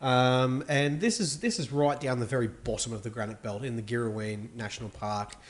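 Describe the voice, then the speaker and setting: A man with an Australian accent speaks fairly quickly at a medium pitch, with ordinary pitch variation. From Australia, Melbourne. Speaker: wine merchant. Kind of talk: casual chat.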